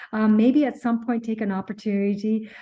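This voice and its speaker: Over a quiet background, a woman talks fairly quickly in a flat monotone, her tone dark, mellow and somewhat breathy. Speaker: accountant and tax advisor, webinar presenter. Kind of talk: webinar presentation Q&A. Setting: online webinar. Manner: fast; halting, many fillers and repeats.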